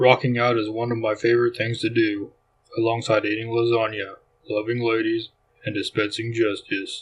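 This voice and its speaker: At a moderate pace, a man uses a put-on character voice pitched in the medium range. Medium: read story. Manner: solemn, heroic.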